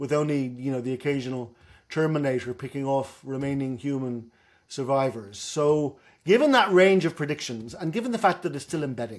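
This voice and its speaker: A man in a Dublin accent, fairly high-pitched, at a fairly quick pace. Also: ordinary pitch variation. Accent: Dublin Irish. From Ireland, Dublin. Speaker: professor. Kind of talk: lecture. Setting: video call.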